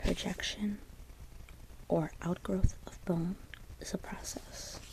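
A woman whispers at a very slow pace while noticeable background noise runs underneath. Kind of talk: ASMR soft-spoken study session. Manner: soft-spoken.

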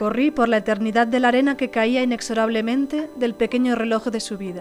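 Over music in the background, a woman speaks fairly quickly with fairly high pitch and fairly even intonation. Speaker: storyteller. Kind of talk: personal story narration.

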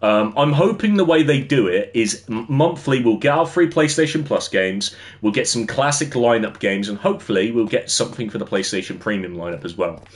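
With an English accent, a man talks fairly quickly with hardly any pauses and very wide pitch swings. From England. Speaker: gaming streamer. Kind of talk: casual livestream chat while gaming. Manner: casual, filler-heavy. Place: home room.

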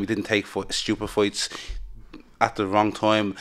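Against a quiet background, a man with a Dublin accent talks at a moderate pace. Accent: Dublin Irish. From Dublin, Ireland. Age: 20s. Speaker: MMA fighter. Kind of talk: interview. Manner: hesitant, filler-heavy. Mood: relaxed, confident. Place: studio. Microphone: studio mic.

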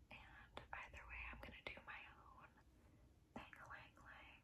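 A soft-spoken woman whispers at a very slow pace. Loud background noise runs behind her. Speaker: beauty vlogger. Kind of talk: casual vlog chat. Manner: soft whisper while applying mascara. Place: home room. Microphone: phone near.

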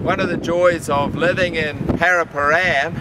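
Loud background noise surrounds a man as he talks. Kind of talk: casual vlog chat. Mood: cheerful, warm. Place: garden. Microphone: camera far.

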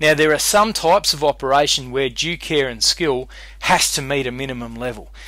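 In an Australian accent, a bright, sharp voice moves at a fairly quick pace with ordinary pitch variation. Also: man, medium pitch for a man. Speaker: law lecturer. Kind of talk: lecture. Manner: casual, conversational.

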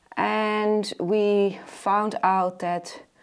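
Very slow and showing little pitch movement, the voice has a clear, smooth tone. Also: woman, medium pitch for a woman.

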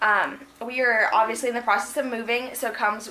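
A woman's high-pitched voice over light background noise. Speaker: home vlogger. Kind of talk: casual vlog chat. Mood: cheerful, chatty. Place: kitchen. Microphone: phone near.

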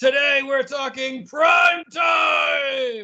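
A man shouts in a put-on character voice at an extremely high pitch. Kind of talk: broadcast announcer. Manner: polished, presenting.

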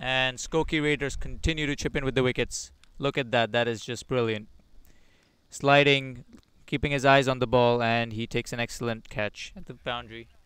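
Very clean recording with a silent background: a man with a plain, everyday voice, medium pitch and fairly even intonation. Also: moderate pace. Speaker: cricket commentator. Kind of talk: live sports commentary.

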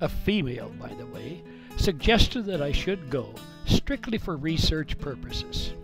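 Music is playing behind the voice. The speaking pace is moderate. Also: man. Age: 70s. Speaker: senior storyteller. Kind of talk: personal storytelling monologue.

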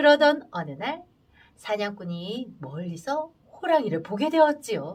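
A woman speaks at a fairly slow pace, her fairly high voice making very wide pitch swings. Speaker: storyteller. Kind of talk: adult folktale storytelling. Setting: radio studio.

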